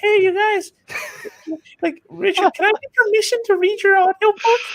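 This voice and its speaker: This is a put-on character voice with extremely high pitch. It moves at a moderate pace. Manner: timid.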